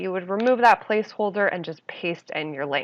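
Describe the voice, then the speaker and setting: Speaking fairly quickly, a woman uses lively intonation at a medium pitch. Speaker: web design instructor. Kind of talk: tutorial. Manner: animated.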